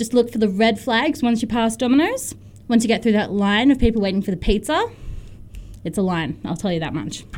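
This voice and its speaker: Lively in intonation, a woman with a fairly high pitch speaks in an ordinary speaking voice. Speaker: student society volunteer. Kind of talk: casual on-air chat, jokey and flustered. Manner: laughing, sheepish, playful banter.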